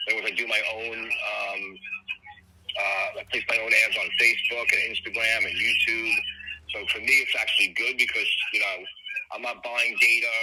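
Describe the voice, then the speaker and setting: Noticeable background noise runs behind a man's voice. He talks at a moderate pace, broken by long, frequent pauses. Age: 60s. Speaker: life insurance salesman. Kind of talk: sales call chat. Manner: halting, many fillers.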